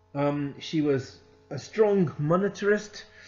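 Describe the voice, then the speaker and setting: The intonation is lively. Music sits in the background, and the room echo is audible. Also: man. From Scotland. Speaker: accounting consultant and lecturer. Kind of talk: lecture. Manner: conversational, with frequent hesitations.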